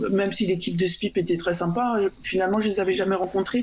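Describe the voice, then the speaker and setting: A woman's medium-pitched voice with fairly even intonation, over noticeable background noise. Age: 50s. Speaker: freelance software developer. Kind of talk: radio panel discussion. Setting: remote call into radio studio.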